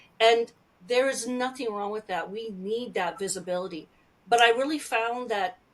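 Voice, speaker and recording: A woman talks at a moderate pace in a fairly high pitch, with a plain, everyday voice. Her pitch varies in an ordinary way while her loudness swings widely. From Alberta, Canada. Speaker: Métis speaker and storyteller. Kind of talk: interview answer.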